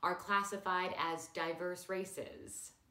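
A woman's voice carries audible room echo. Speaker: comedy news host. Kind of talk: satirical news monologue. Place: home room.

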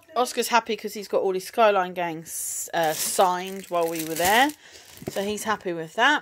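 The speaker has an English accent, and the loudness swings widely. Pitch moves in an ordinary way over light background noise. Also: woman, medium pitch for a woman, moderate pace. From UK. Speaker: vlogger, mum; vlogger. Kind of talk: casual shopping haul vlog. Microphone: phone near.

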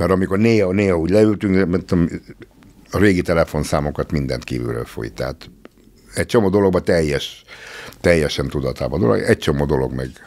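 Lively intonation and vocal fry in a man's very deep, low voice at a very fast pace. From Hungary. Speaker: musician; podcast guest. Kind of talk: casual chat. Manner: halting. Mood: reflective, a bit wry. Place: studio. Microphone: studio mic.

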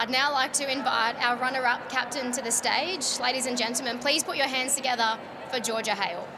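With clear background noise behind her, a woman talks at a fairly quick pace in a high pitch and fairly even intonation.

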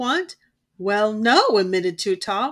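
A natural reading voice with ordinary pitch variation against a quiet background

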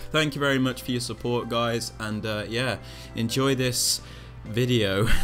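A man at medium pitch, fairly slow in pace with fairly even intonation, over music in the background. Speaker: gaming YouTuber. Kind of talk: casual gameplay commentary.

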